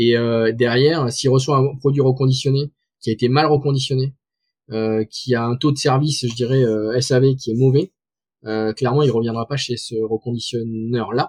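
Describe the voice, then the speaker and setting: A somewhat breathy man talks in a monotone, flat manner at a medium pitch and moderate pace, recorded dry and close with no echo against a quiet background. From southwest France. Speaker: tech startup founder and CEO. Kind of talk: interview. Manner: halting, many fillers and repetitions.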